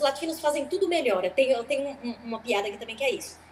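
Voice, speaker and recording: A high-pitched woman at a very fast pace amid noticeable background noise. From Brazil. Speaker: stand-up comedian. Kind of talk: interview.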